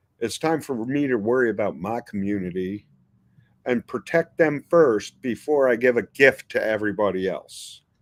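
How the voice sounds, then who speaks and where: A man with an American accent at medium pitch and a moderate pace, ordinary pitch variation, in a dry, close sound with no echo. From New York City (Queens). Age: 60s. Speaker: pepper breeder. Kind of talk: interview.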